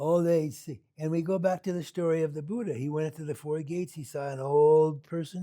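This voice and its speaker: With an American accent, a man speaks at a moderate pace in a dark, mellow tone, fairly high in pitch with ordinary pitch variation. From US Pacific Northwest, Seattle. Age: 70s. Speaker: Buddhist meditation teacher. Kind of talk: dharma talk. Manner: casual, halting with repetitions.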